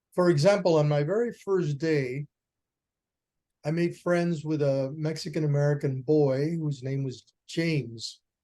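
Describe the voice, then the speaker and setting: A man's fairly high voice with a dark, mellow tone, a Spanish accent, ordinary pitch variation and a fairly slow pace. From Puerto Rico. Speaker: educator and author. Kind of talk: radio interview. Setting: video call.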